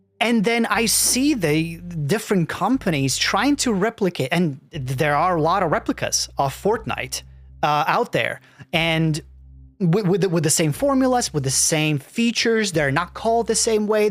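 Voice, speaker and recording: With music in the background, a man speaks with a non-native accent at a high pitch. His pace is moderate, his intonation lively and his loudness very even. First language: not English. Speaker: gaming YouTuber. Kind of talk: reaction commentary. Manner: halting, many restarts and repetitions.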